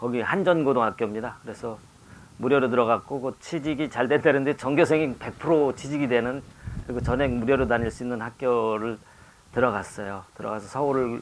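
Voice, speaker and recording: A man's medium-pitched voice moves along at a fairly quick pace, with ordinary pitch variation. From Chungcheong, Korea (Chungju). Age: 60s. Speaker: poet. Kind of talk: talk show conversation. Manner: halting.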